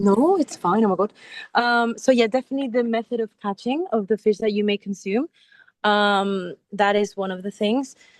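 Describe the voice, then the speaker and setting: A woman with a fairly high pitch speaks at a moderate pace, using ordinary pitch variation. The sound is dry and close, with no echo. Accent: Spanish. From Spain, Mallorca. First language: Spanish. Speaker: sea turtle biologist. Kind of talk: educational talk in online class. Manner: halting, searching for words.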